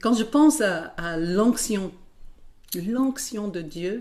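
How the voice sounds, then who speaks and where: Speaking very slowly with an American accent, a woman uses lively intonation and a dark, mellow tone. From United States. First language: English (speaking French). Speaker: worship musician. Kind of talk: interview. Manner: halting.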